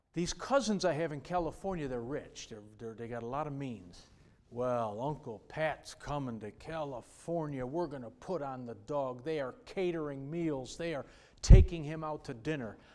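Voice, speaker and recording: Audible room echo surrounds a man whose fairly high voice shows big swings in loudness. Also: ordinary pitch variation, moderate pace. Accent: American. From New York. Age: 60s. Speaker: pastor. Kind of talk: sermon. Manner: animated.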